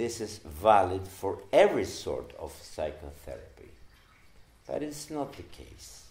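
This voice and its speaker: Audible room echo surrounds a man with a non-native accent. He speaks at a very slow pace. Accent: non-native English pronunciation. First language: Spanish. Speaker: psychoanalyst. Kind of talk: lecture. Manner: halting.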